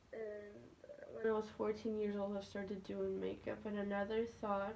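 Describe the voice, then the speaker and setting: A woman speaks over noticeable background noise. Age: young. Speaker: vlogger. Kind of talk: casual chat. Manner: halting.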